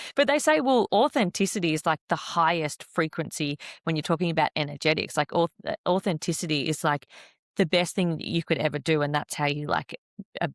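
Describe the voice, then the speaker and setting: In a very clean recording with a silent background and a dry, close sound with no echo, a woman with a very deep, low pitch speaks at a fairly quick pace with ordinary pitch variation. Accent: Australian. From Australia, Perth. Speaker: podcast host. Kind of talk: casual interview chat.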